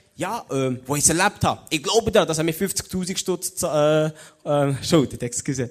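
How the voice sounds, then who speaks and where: Moderate pace and ordinary pitch variation from a man, fairly high in pitch, in a plain, everyday voice. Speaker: theology student and lay preacher. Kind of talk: sermon. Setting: stage with audience.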